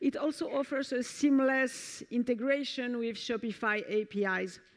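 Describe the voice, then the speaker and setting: A woman speaks with a French accent. Her pitch varies in an ordinary way against a quiet background. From France. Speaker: software developer advocate. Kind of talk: conference talk. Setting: stage with audience.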